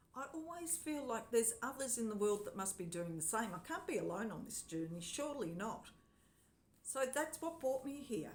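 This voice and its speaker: Her fairly high voice sweeping through very wide pitch swings, a woman speaks with audible room echo. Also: moderate pace. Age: 60s. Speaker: vlogger. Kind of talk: personal vlog monologue. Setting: home lounge room.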